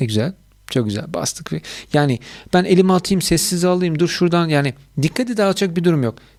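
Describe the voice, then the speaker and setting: A man's high voice with lively intonation at a fairly quick pace, on a very clean recording with a silent background. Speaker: YouTuber reviewing audio gear. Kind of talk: product review tutorial.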